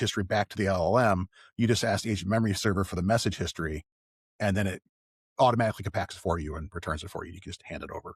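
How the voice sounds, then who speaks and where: Speaking very fast, a man with a somewhat breathy voice shows ordinary pitch variation on a very clean recording with a silent background and a dry, close sound with no echo. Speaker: developer advocate. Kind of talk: technical discussion. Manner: animated.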